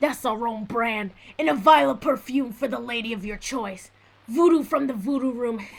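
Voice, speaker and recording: A woman uses a put-on character voice with a growl. It sits fairly high in pitch, with lively intonation. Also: moderate pace. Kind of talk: 1940s radio acting. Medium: audio drama. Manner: smooth, showy.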